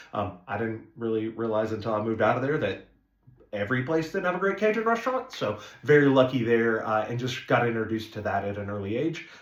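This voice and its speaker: Speaking very fast with an American accent, a man uses a medium pitch and ordinary pitch variation, with audible room echo around him. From northeast Arkansas, small town. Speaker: restaurant owner. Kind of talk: casual introductory video talk. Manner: casual, many filler words.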